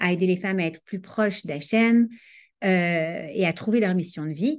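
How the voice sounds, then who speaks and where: A woman speaks at a fairly slow pace in a dark, mellow tone against a quiet background. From France, Paris. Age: 40s. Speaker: Torah teacher and life coach. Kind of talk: online lecture.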